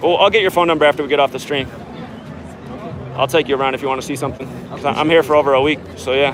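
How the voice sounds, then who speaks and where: Fairly high-pitched male voice with an American accent, very fast pace broken by long, frequent pauses, and noticeable background noise. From Portland, Oregon. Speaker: street livestreamer. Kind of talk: casual chat. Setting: outdoors. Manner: voice cracking.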